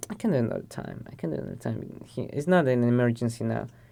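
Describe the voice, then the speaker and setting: Talking at a very fast pace, a man speaks with a Spanish accent. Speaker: podcast guest. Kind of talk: casual chat. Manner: halting, with repeated words.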